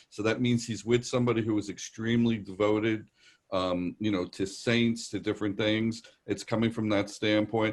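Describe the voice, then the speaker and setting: Against a quiet background, a man with a New York accent talks at a moderate pace in a fairly low, monotone, flat voice. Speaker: psychic medium. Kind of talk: live psychic reading. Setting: video call. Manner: conversational, hesitant fillers.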